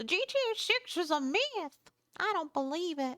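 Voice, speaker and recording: A woman's put-on character voice, extremely high in pitch, at a moderate pace. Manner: fake, put-on.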